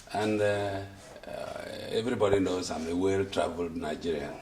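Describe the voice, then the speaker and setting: Male speech, some room echo, and clearly audible background noise. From Nigeria, Akwa Ibom. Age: 70s. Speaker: elder statesman giving testimonial. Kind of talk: interview testimonial. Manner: halting, many fillers.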